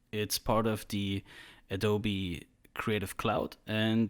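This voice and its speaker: A man speaks with a German accent at medium pitch. The recording is very clean, with a silent background. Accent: German accent, self-described bad English. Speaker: 3D artist, tutorial creator. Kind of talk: tutorial. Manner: casual, hesitant at times.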